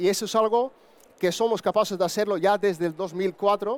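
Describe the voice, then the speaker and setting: This man talks at a moderate pace. His voice is high-pitched. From Netherlands. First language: Dutch (speaking Spanish). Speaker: broker firm co-founder. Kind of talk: conference talk.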